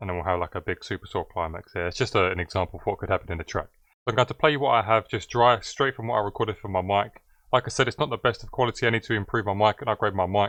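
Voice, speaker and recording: Very fast and fairly low-pitched, a man talks with ordinary pitch variation in a dry, close sound with no echo and a quiet background. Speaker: music producer tutorial creator. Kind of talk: tutorial.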